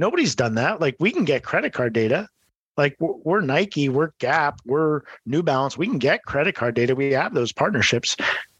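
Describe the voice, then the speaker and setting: A man with an unremarkable speaking voice talks at a moderate pace, his fairly high pitch carrying lively intonation at very even loudness, in a dry, close sound with no echo. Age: 40s. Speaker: sports technology entrepreneur. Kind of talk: interview.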